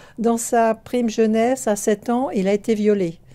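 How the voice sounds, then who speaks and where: In a dark, mellow tone, a woman talks very slowly. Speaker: book reviewer. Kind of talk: casual book review talk. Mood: calm, thoughtful. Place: home room. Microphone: phone near.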